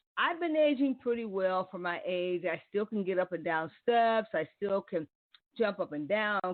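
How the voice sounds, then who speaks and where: At a moderate pace, a woman of medium pitch talks with lively intonation in a normal speaking voice. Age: 60s. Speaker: internet radio talk show host. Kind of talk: live call-in radio talk. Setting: live internet radio broadcast.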